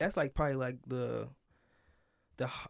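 A man speaks at a medium pitch with an American accent and fairly even intonation. The recording is very clean, with a silent background. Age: 20s. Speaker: podcast co-host. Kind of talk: casual conversation podcast.

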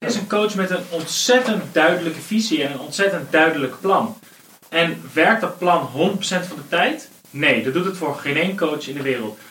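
Amid noticeable background noise, a high-pitched man speaks at a moderate pace with lively intonation. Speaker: football podcast panelist. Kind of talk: casual football discussion.

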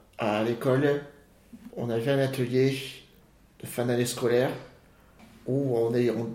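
A man's medium-pitched voice moves at a fairly slow pace in a monotone, flat intonation. Room echo is audible. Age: 30s. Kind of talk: casual family chat; personal storytelling interview. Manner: halting, repeats words.

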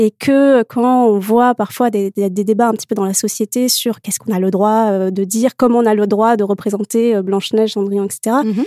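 A woman's fairly high, dark and mellow voice at a moderate pace, with fairly even intonation, hardly any pauses, and a dry, close sound with no echo. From Morocco. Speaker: children's author. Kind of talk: panel discussion. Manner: hesitant, laughs often.

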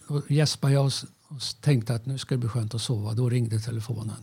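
The recording is very clean with a silent background. A man speaks in a somewhat breathy voice with a dark, mellow tone. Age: 70s. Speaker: retired TV technician and musician. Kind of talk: casual interview.

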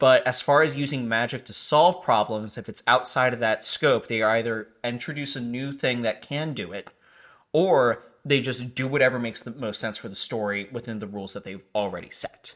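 This man has an unremarkable speaking voice at medium pitch, with ordinary pitch variation and a moderate pace. His loudness swings widely, and the recording is very clean with a silent background. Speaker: podcast host. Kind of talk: casual chat.

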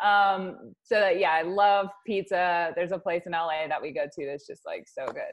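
An unremarkable speaking voice from a woman with an American accent, medium in pitch, at a moderate pace with hardly any pauses, ordinary pitch variation and big swings in loudness. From US Wyoming. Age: 30s. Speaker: model agency owner and author. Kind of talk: casual chat.

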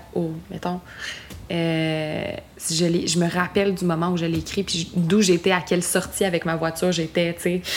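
Against noticeable background noise, a woman speaks fairly slowly at a fairly low pitch in a monotone, flat intonation. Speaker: singer-songwriter. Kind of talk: casual chat. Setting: home studio in Montreal.

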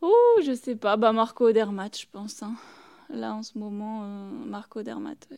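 Speaking at a very slow pace, a woman has a dark, mellow tone and a fairly high pitch with ordinary pitch variation. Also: big swings in loudness. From French Alps (Tignes, Savoie). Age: 20s. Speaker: alpine ski racer. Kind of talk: interview.

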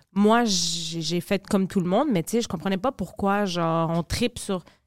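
A woman with an unremarkable speaking voice talks at a medium pitch and moderate pace on a very clean recording with a silent background. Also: dry, close sound with no echo. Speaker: podcast co-host. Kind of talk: casual chat.

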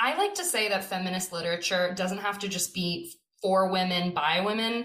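Music plays behind a woman speaking at a moderate pace in an American accent. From California. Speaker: theatre director. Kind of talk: interview.

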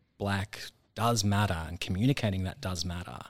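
A man speaks with an Australian accent in a very deep, low pitch. The recording is very clean, with a silent background. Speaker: stage actor. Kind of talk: casual interview.

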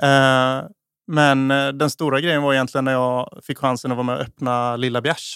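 A man speaks at a moderate pace with a medium pitch. His intonation stays fairly even. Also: very clean recording, silent background. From Småland, Sweden (Eksjö). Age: 30s. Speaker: chef and restaurant owner. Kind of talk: casual interview. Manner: halting.

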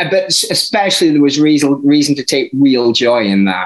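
A man with a Yorkshire accent, fairly high pitch, very wide pitch swings and a moderate pace. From northern England, Barnsley. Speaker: author and music journalist. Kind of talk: interview. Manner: halting.

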